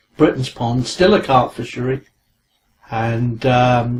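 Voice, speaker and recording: This man talks with a southern English accent. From southern England, Guildford, Surrey. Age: 60s. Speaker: angling journalist and carp historian. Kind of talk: interview. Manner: hesitant with fillers.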